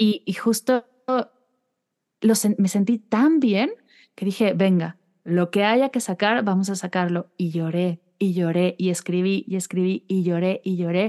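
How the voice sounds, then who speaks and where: A woman speaks at a fairly slow pace in a medium pitch with ordinary pitch variation and a dark, mellow tone. The sound is dry and close with no echo, over a quiet background. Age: 30s. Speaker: meditation guide. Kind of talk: interview conversation.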